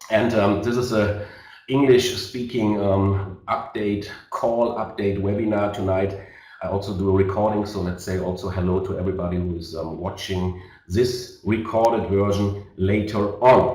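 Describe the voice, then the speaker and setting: A man speaks with a German accent at a fairly low pitch and a moderate pace. His intonation is fairly even, and there is audible room echo. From Germany. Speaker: network marketing leader. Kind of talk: sales webinar presentation. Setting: online webinar. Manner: halting, many fillers.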